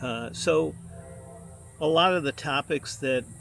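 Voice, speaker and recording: The man's speech carries audible room echo. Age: 70s. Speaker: retired city administrator, vlogger. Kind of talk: casual vlog monologue. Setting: outdoors at a fitness trail. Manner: halting, many fillers.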